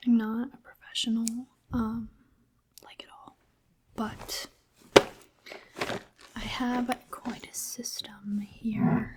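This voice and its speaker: Soft-spoken and gentle in tone, a woman speaks at a fairly high pitch with monotone, flat intonation and a very slow pace. Long, frequent pauses and big swings in loudness stand out against noticeable background noise. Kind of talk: ASMR roleplay, personal attention. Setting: close-mic ASMR recording. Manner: soft-spoken, gentle, calming.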